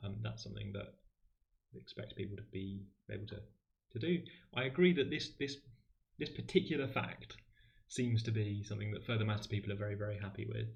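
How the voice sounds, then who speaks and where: This man's voice sits fairly low, with vocal fry and lively intonation. He speaks at a fairly quick clip but leaves long, frequent pauses. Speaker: maths livestream host and tutor. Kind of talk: livestream maths tutorial. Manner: fast.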